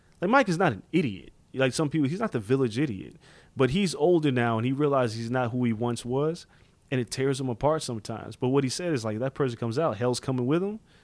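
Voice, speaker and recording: On a very clean recording with a silent background, a man with a New York accent and medium pitch speaks at a very fast pace with lively intonation. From New York, Far Rockaway, Queens. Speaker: combat sports journalist. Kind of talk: casual chat. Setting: hotel room in Las Vegas.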